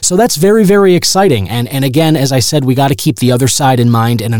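Here a man talks in a normal speaking voice. His pace is fairly quick and his intonation lively. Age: 30s. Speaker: radio broadcaster and podcast host. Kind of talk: solo podcast monologue, review and news roundup.

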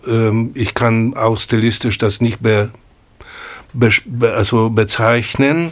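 A man with a Polish accent at a very slow pace. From Poland, Kraków. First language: Polish (speaking German). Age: 60s. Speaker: jazz pianist. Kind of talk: casual chat. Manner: halting.

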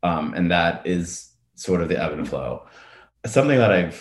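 Audible room echo around speech of ordinary pitch variation and moderate pace. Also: man. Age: 30s. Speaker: cancer survivor. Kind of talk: testimony. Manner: halting.

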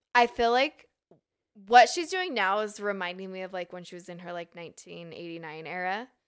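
A woman uses a normal speaking voice with an American accent and medium pitch. Her pace is fairly quick, and her pitch variation is ordinary. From Utah (Draper). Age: 30s. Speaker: fashion blogger and clothing business owner. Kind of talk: casual interview chat. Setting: studio.

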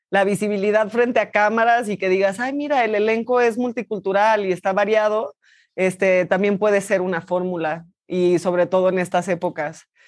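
Against a quiet background, a woman talks at a moderate pace and medium pitch with ordinary pitch variation in a plain, everyday voice. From Mexico. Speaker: actress. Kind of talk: interview. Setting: remote video call.

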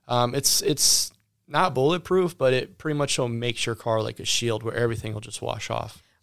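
The recording is very clean, with a silent background. A plain, everyday voice talks at a moderate pace, its pitch varying in an ordinary way. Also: man, medium pitch for a man. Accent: American. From Ohio. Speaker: auto detailing business owner. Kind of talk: interview. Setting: studio.

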